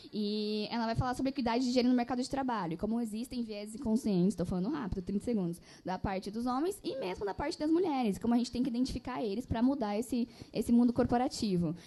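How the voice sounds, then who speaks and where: A woman speaks at a very fast pace. Her fairly high voice has lively intonation. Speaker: publishing executive. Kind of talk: panel discussion.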